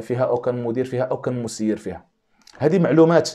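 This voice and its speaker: The background is quiet as a man talks, his pitch showing ordinary variation. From Morocco. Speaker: YouTube commentator. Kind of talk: video monologue commentary. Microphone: lapel.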